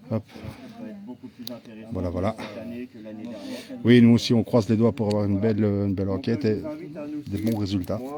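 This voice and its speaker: Amid noticeable background noise, a man with a Belgian accent speaks at a moderate pace in a fairly low, monotone, flat voice, leaving long, frequent pauses. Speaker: paranormal investigator. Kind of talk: casual live stream chat. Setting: outdoors.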